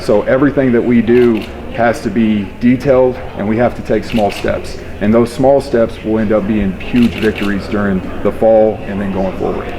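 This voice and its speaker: Someone with a West Texas accent speaks at a moderate pace with fairly even intonation over noticeable background noise. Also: man, medium pitch for a man. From West Texas, Panhandle. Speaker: high school football coach. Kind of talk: interview.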